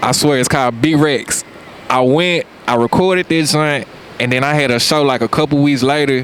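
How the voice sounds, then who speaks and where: With a Memphis accent, a man speaks at a moderate pace and a fairly high pitch, with very even loudness, fairly even intonation and noticeable background noise. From US South, Memphis, Tennessee. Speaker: rapper. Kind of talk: casual interview chat. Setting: outdoors on a beach.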